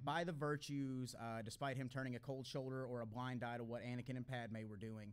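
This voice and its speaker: Speaking at a fairly quick pace, the man shows ordinary pitch variation. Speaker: podcast host. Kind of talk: interview questions. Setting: live stage. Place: hall. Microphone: studio mic.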